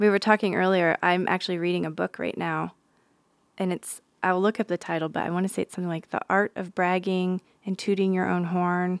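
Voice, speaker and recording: In an American accent, a woman talks at medium pitch and a fairly quick pace with monotone, flat intonation. The very clean recording has a silent background and a dry, close sound with no echo. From Nevada. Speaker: podcast host. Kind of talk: casual interview. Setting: studio.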